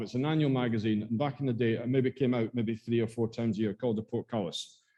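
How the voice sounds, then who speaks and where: Talking at a fairly quick pace, a man with an Aberdeen accent has a dark, mellow tone. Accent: Scottish (Aberdeen). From Scotland, Aberdeen. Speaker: school archivist and librarian. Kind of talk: talk to a local society. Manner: hesitant, many fillers and repetitions.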